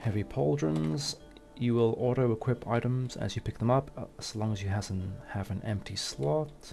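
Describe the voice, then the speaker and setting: Music plays behind a man with a medium-pitched voice. He talks at a moderate pace with lively intonation. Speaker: gaming YouTuber. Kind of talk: gameplay commentary. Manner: halting.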